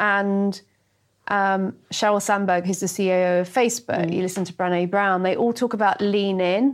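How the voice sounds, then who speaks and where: A woman with an unremarkable speaking voice talks at a moderate pace and medium pitch. Her intonation is fairly even, and the background is quiet. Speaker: podcast host. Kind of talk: casual chat.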